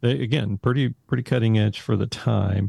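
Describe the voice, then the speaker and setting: Here is a man with a fairly low pitch and a dark, mellow, somewhat breathy tone. The sound is dry and close with no echo, against a quiet background. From Texas, Haltom City near Fort Worth. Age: 60s. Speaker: school technology director, former accountant. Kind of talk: casual interview.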